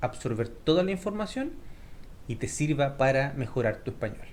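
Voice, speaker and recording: A somewhat breathy man speaks at a moderate pace, his fairly high pitch carrying lively intonation. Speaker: Spanish teacher. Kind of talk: tutorial. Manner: clear pronunciation.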